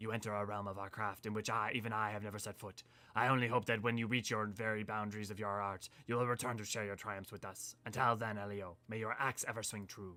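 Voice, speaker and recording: Delivered at a very fast pace, the put-on character voice stays monotone and flat. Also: man, fairly low pitch for a man. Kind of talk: formal, grand. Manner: solemn, pompous.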